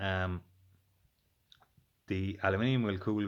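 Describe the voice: A man's low-pitched voice at a slow pace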